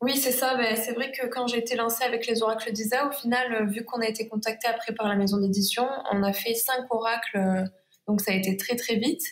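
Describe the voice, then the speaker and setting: This woman's voice is fairly high and somewhat breathy. She moves at a fairly quick pace. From Provence, southern France. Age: 20s. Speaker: watercolour illustrator. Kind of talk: interview.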